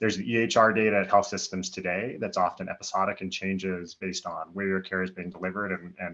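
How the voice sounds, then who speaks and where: Speaking at a very fast pace, a man with a fairly low pitch keeps his intonation fairly even. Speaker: physician and health tech executive. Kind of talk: panel presentation.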